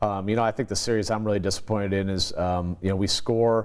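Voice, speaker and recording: A man with a very deep, low voice, talking very fast with fairly even intonation over a quiet background. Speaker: college football head coach. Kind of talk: sports interview. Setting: studio. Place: studio.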